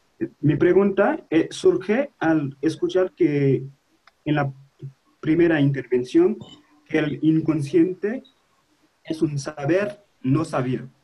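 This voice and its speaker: A man with a non-native accent and a dark, mellow tone speaks very slowly at a fairly high pitch, with ordinary pitch variation and long, frequent pauses. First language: not Spanish (speaking Spanish). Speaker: seminar participant. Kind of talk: question from audience. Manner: halting.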